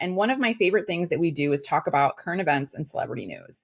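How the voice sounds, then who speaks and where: In a Midwestern American accent, a woman with a fairly low pitch speaks very fast in an upbeat tone with lively intonation, on a very clean recording with a silent background. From US Midwest. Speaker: podcast host, clinical psychologist. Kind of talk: casual chat.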